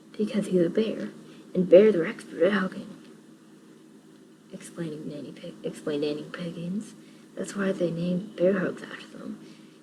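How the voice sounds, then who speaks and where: Speech at a moderate pace with long, frequent pauses over noticeable background noise. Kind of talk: audiobook-style reading of a children's book, ASMR whisper reading. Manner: whispered.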